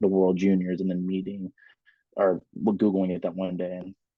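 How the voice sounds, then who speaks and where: A man with a very deep, low pitch talks at a fairly quick pace. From Alaska. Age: 20s. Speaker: hockey player and army veteran. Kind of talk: casual chat.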